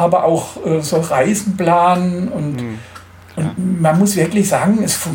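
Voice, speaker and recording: A high-pitched man talks at a very slow pace. There is audible room echo along with noticeable background noise. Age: 50s. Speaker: motorcycle tour organizer with a stoma. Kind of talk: interview.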